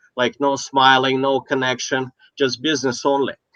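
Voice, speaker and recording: A man speaks at a moderate pace with a non-native accent. His pitch is medium, and the sound is dry and close with no echo. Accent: noticeable foreign. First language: not English. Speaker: business coach. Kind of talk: casual chat. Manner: halting.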